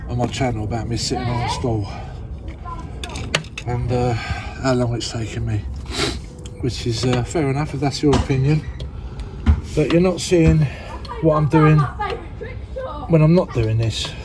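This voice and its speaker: Speaking in an English accent, a man uses a medium pitch with ordinary variation at a moderate pace, broken by long, frequent pauses. Noticeable background noise and audible room echo are present. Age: 60s. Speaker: DIY builder. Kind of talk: DIY tutorial vlog. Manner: casual, chatty.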